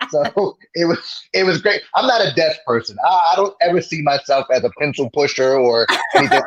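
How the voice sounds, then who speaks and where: An animated, fairly quick delivery with lively intonation, in a New Jersey accent. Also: man, high pitch for a man. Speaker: sterile processing educator and podcaster. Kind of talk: interview.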